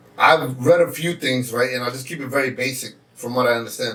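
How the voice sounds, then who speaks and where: A man speaks at a medium pitch with fairly even intonation, and there is noticeable background noise. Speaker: podcast host. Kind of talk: casual chat. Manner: loud.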